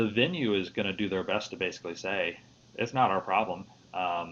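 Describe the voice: A man with a Midwestern accent speaks in a very deep, low voice. His delivery is fairly quick, and his intonation stays fairly even.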